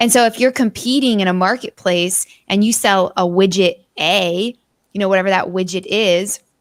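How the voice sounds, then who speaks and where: A plain, everyday voice from a woman, medium in pitch with ordinary variation, at a moderate pace. The recording is very clean and silent behind her, dry and close with no echo. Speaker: business speaker. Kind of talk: casual chat.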